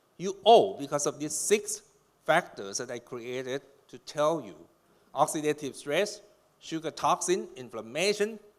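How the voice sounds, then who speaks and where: A man speaks at a moderate pace with a fairly high pitch. His pitch swings very widely. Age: 60s. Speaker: doctor giving a conference talk. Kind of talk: lecture. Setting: stage with audience. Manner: animated.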